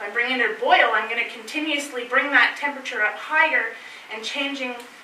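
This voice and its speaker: A woman speaks amid audible room echo, with light background noise present. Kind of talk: lecture. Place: meeting room.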